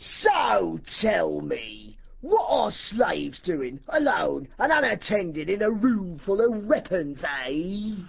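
A put-on character voice at middle pitch, very slow in pace with hardly any pauses, over light background noise. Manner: sneering, menacing.

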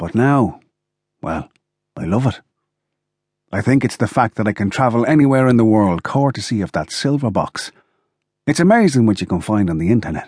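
At a fairly quick pace broken by long, frequent pauses, a man with a medium pitch uses lively intonation, his voice dry and close with no echo over a quiet background. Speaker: audiobook narrator. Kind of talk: scripted audiobook narration in first person as a dying grandfather.

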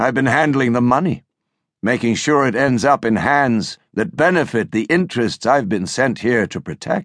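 A man speaks at a fairly slow pace in an ordinary speaking voice with lively intonation. The sound is dry and close, with no echo. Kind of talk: dramatic audiobook narration, first-person thriller reading. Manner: intense, hushed, brooding; measured, suspenseful pacing.

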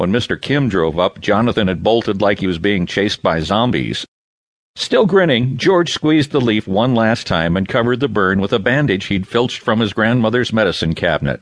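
An ordinary speaking voice with lively intonation and very even loudness moves at a moderate pace in a dry, close sound with no echo. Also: man, fairly low pitch for a man. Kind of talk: audiobook narration of a children's novel. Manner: smooth, measured storytelling pace with shifting character voices, expressive in dialogue.

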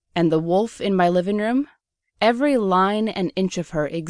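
The background stays quiet. Someone is reading aloud in a natural voice, pitch varying in an ordinary way.

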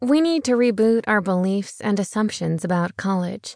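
A woman with an ordinary speaking voice talks at a medium pitch and a moderate pace, with lively intonation. The sound is dry and close, with no echo. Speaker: audiobook narrator. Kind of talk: audiobook narration, scripted nonfiction reading. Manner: polished, steady, measured; warm, earnest, persuasive.

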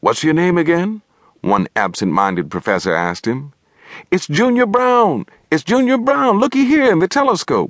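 A man talks with an animated tone at a moderate pace, his loudness very even and the sound dry and close with no echo. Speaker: audiobook narrator. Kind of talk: dramatic audiobook narration, reading aloud with character dialogue. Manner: animated, expressive storytelling that shifts between characters.

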